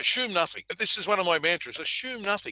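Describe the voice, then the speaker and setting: Bright, sharp male voice with a high pitch and an Australian accent, dry and close with no echo. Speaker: event industry consultant. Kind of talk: conversational podcast discussion.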